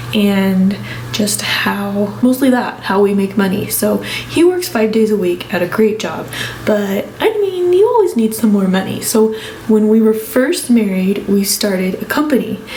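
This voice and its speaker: With an American accent, a woman speaks at a fairly slow pace and a fairly high pitch with ordinary pitch variation, with noticeable background noise and audible room echo. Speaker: family vlogger. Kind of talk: casual vlog talk. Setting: bedroom at home. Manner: soft-spoken.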